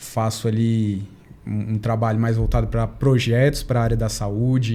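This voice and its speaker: A man speaks in a monotone, flat intonation. His pace is fairly slow. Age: 30s. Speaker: family doctor. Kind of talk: podcast interview.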